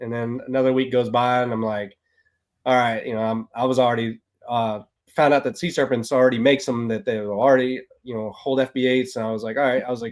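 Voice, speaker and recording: Very fast speech comes from a man with a Texan accent and a medium-pitched voice. His intonation stays fairly even. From Texas. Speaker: ball python keeper, military service member. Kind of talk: casual chat.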